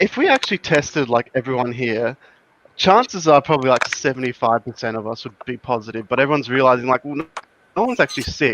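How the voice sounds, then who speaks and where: A man with an Australian accent talks at a very fast pace in a dry, close sound with no echo. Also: medium pitch for a man, ordinary pitch variation. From Adelaide, South Australia. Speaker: patron caller on live show. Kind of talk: casual chat.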